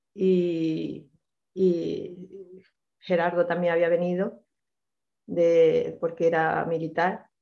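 Over a quiet background, a woman speaks very slowly at a fairly low pitch. Her intonation is monotone and flat, and her loudness very even. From Granada, Spain; Spain. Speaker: participant; guest. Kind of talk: personal testimony. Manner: halting. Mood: personal, reflective recollection. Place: home room. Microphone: video call.

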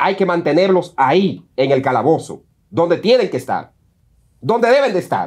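In a quiet background, a man speaks with a high pitch at a moderate pace. His pitch swings very widely. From Dominican Republic. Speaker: news show co-host. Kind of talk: opinion commentary. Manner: emphatic. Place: studio. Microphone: lapel.

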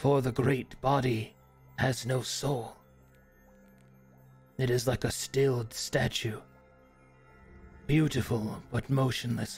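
A man's medium-pitched, monotone, flat delivery at a fairly slow pace, with very even loudness, long, frequent pauses and faint music in the background. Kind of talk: solemn fantasy monologue. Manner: reflective, melancholy.

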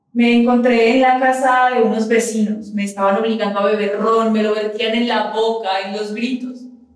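Flat, monotone delivery at a moderate pace with hardly any pauses, plus audible room echo. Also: woman. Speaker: stage actress. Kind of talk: theatrical monologue. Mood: grieving, anguished, intimate. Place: stage.

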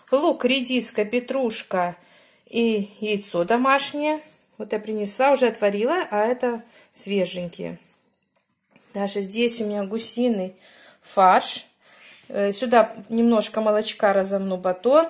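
A woman talks at a very slow pace, with long, frequent pauses between her words. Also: ordinary pitch variation. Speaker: home cook vlogger. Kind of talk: casual cooking vlog chat. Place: kitchen. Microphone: phone near.

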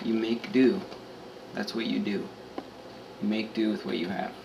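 A man speaks over noticeable background noise. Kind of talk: casual vlog chat. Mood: jokey, late-night. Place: kitchen. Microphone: phone near.

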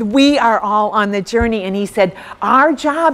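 A woman speaks in a normal speaking voice at a fairly high pitch, with ordinary pitch variation. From US Midwest, rural farm background. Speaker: speaker. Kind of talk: workshop talk. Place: hall.

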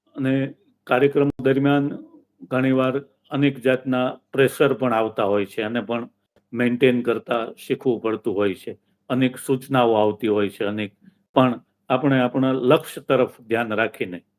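With a normal speaking voice, a man talks at a medium pitch and with fairly even intonation. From Saurashtra, Gujarat (Bhavnagar district). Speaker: event emcee and retired teacher. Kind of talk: interview.

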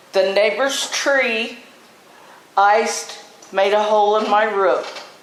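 A woman speaks at a very slow pace with a fairly high pitch. Noticeable background noise and audible room echo fill the recording. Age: 70s. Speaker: property owner at public hearing. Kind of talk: public hearing statement. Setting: city council meeting at podium.

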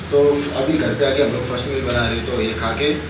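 The man speaks at a moderate pace. There is audible room echo and noticeable background noise. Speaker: fitness vlogger. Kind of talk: casual vlog chat. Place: kitchen. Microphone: phone near.

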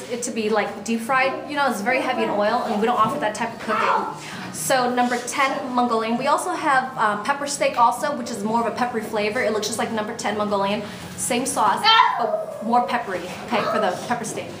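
A woman talks at a fairly quick pace with ordinary pitch variation. Loud background noise runs behind her. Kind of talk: casual guided tour of menu. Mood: proud, promotional. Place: cafe. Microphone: phone near.

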